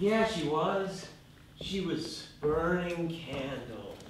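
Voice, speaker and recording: A man does a put-on character voice with a high pitch, drawling at a very slow pace amid clear background noise and slight echo. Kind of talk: comic overacting. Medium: stage play. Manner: drawling, rambling, full of "like" and "man".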